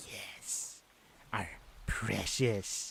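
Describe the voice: Using a put-on character voice, a man sounds raspy.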